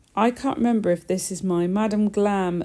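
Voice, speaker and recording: The recording is very clean, with a silent background. A woman speaks at medium pitch and a very slow pace. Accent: English. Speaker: nail technician. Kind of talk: tutorial. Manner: subdued, flat.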